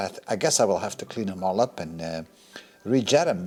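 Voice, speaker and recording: The voice is an ordinary speaking voice with lively intonation. It moves at a fairly quick pace. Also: man. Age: 50s. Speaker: car restoration hobbyist. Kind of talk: workshop video commentary. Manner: casual, thinking aloud.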